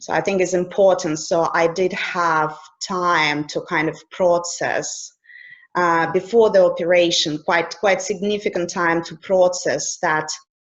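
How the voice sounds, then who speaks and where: A woman speaks with a Russian accent at a fairly slow pace. Her fairly low voice has monotone, flat intonation. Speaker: life coach. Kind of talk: interview.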